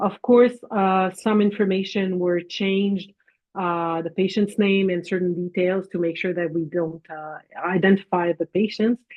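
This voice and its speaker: The speaker has a French Canadian accent and fairly even intonation. The pace is fairly slow. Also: woman, medium pitch for a woman. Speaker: physician and professor. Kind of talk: lecture presentation.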